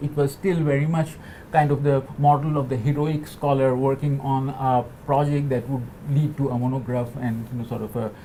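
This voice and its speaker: A man with a Bengali accent, a fairly high pitch, fairly even intonation and a moderate pace, amid noticeable background noise. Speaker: postdoctoral researcher in digital humanities. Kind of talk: panel talk. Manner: halting, many fillers and repetitions.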